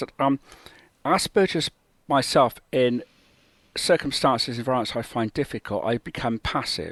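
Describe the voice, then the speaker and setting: A man talks at a middling pace, the recording dry and close without any echo. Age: 60s. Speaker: guest with Asperger's syndrome. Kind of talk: interview. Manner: halting.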